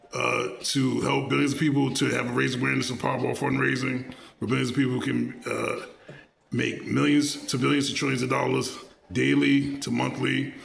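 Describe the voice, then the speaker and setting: With audible room echo and noticeable background noise, a man keeps to a moderate pace. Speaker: vlogger. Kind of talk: monologue. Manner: halting, many filler words.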